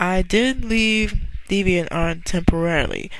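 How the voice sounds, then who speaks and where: A woman at a very slow pace with ordinary pitch variation and noticeable background noise. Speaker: online artist. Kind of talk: casual vlog monologue. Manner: soft-spoken. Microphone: quiet, listeners told to raise volume.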